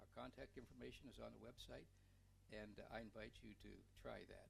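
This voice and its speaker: Audible room echo follows the man as he talks. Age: 70s. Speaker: city council member. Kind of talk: council meeting remarks. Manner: halting.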